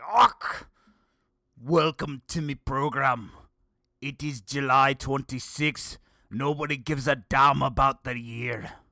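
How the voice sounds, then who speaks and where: A gruff, put-on character voice from a man in a Scottish accent, medium pitch, fairly slow pace and long, frequent pauses, on a very clean recording with a silent background. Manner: angry, gruff.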